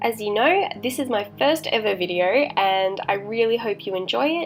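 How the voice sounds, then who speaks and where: A woman talks at a moderate pace with lively intonation and a fairly high pitch. Music plays in the background. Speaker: horror story narrator. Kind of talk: casual talk to camera.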